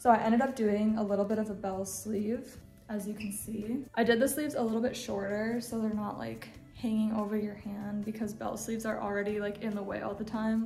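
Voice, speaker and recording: A woman talks at a fairly quick pace with monotone, flat intonation, audible room echo and faint music in the background. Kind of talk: casual vlog chat. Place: home room. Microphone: phone near.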